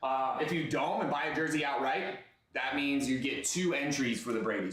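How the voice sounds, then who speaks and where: A man talks with a fairly high pitch. Audible room echo and noticeable background noise surround the recording. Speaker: live stream card breaker. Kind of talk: live sales stream. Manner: fast.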